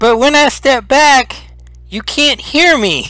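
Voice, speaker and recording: Putting on a character voice, a man speaks at a fairly slow pace in an extremely high pitch. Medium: actual play.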